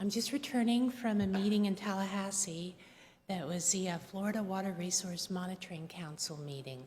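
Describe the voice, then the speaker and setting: This woman's voice is somewhat breathy, at a medium pitch. She talks at a moderate pace with ordinary pitch variation. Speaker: public commenter. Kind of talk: public comment at county meeting. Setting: county commission board room. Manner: hesitant with fillers.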